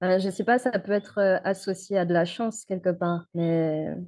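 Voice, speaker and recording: This woman's voice sits fairly low in pitch, and her intonation stays fairly even. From Guadeloupe. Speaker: motion designer. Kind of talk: interview. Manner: hesitant.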